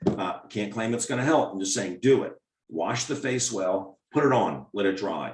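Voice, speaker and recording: Speaking fairly slowly with lively intonation, a man in an American accent uses an unremarkable speaking voice at medium pitch. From US, Maryland. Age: 60s. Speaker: doctor. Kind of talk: Q&A webinar answering questions.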